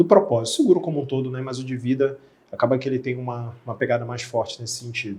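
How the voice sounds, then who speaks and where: Fairly even intonation marks a man's somewhat breathy, medium-pitched voice. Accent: Rio de Janeiro. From Rio de Janeiro, Brazil. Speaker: insurance specialist. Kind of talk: podcast interview. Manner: casual, conversational.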